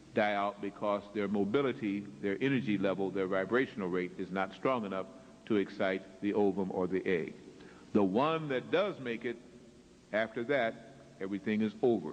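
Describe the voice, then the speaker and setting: This man's voice sits fairly low, with ordinary pitch variation. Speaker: lecturer. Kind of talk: lecture. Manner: slow.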